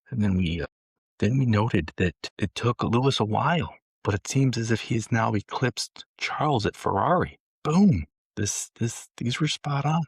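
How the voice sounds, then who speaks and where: A man speaks at a moderate pace in an American accent, his pitch medium with very wide swings and some vocal fry. The sound is dry and close with no echo, on a very clean recording against a silent background. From Michigan, US. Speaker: podcast co-host. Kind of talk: casual chat. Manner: animated.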